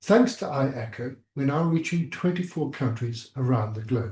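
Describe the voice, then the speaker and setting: A man speaks with a dark, mellow tone, a somewhat breathy quality and lively intonation. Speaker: surgery teacher. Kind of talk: online lecture. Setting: video call.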